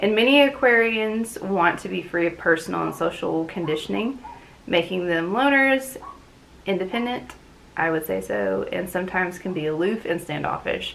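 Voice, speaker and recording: A woman speaks at a medium pitch and a moderate pace with lively intonation. Noticeable background noise is present. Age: 30s. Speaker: booktube channel host. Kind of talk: casual talk to camera. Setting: talking to a camera at home.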